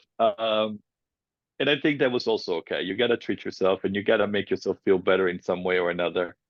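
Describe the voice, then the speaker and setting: With a slight Italian accent, the speaker goes at a very fast pace with ordinary pitch variation. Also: man, fairly low pitch for a man. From Italy. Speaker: filmmaker, cancer survivor. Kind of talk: personal testimony interview. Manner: casual, halting.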